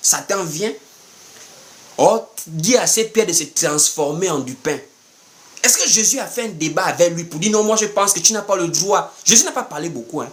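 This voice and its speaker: A man's high-pitched, animated voice with lively intonation, a moderate pace, long and frequent pauses, and noticeable background noise. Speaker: preacher. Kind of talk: sermon.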